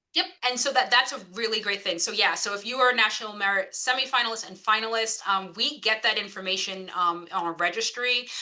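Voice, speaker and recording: A woman with an American accent speaks at a very fast pace with hardly any pauses and ordinary pitch variation, over noticeable background noise. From New York. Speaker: financial aid officer. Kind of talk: information session. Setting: video call.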